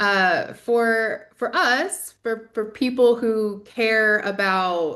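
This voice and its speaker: A woman's voice comes through with a bright, sharp tone against a quiet background. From US South. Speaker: community organizer and podcaster. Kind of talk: presentation.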